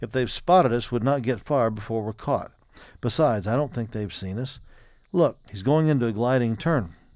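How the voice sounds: With ordinary pitch variation, the speaker uses a natural reading voice.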